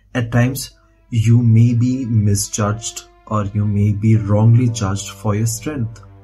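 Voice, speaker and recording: Against light background noise, a man speaks in a monotone, flat way. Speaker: motivational speaker. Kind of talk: motivational monologue. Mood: calm, reflective. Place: home room. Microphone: phone near.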